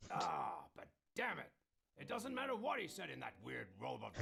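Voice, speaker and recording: Raspy, put-on character voice from a man at a moderate pace. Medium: fan dub. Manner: loud, blustering.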